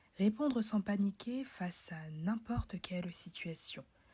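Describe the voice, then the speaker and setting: A woman's somewhat breathy, dark, mellow voice at medium pitch and a fairly slow pace. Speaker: podcast host, public speaking coach. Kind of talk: promotional announcement; solo podcast, instructional talk.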